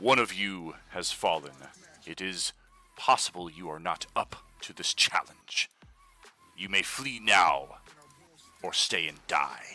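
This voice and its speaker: A man puts on a booming character voice, very deep and low, with lively intonation at a fairly slow pace and long, frequent pauses. Music plays in the background, and the sound is dry and close with no echo. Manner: commanding, threatening.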